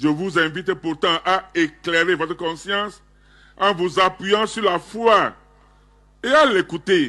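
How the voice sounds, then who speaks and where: This man speaks very slowly in a raised, projected voice. His tone is bright and sharp, with lively intonation. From Togo. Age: 70s. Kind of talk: public statement. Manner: formal.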